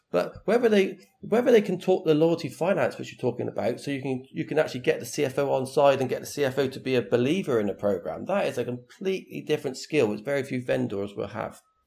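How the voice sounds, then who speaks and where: A man with a fairly high pitch talks at a very fast pace, his voice swinging very widely in pitch. His tone is dark and mellow, with vocal fry. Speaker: loyalty consultant. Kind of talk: panel discussion on loyalty programs. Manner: casual, conversational.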